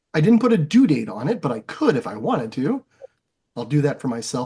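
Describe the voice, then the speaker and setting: Against a quiet background, a man with fairly high pitch and a dark, mellow, somewhat breathy tone speaks at a very fast pace with very wide pitch swings. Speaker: teacher, yearbook club advisor. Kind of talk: tutorial. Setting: screen-share session, recorded. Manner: casual, many fillers.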